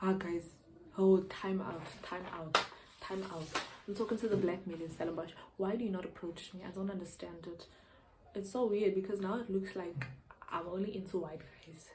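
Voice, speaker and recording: A woman speaks with long, frequent pauses while music plays in the background. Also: medium pitch for a woman, moderate pace. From Eastern Cape, South Africa. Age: young. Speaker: university student, YouTuber. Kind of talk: casual talk to camera. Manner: chatty, animated.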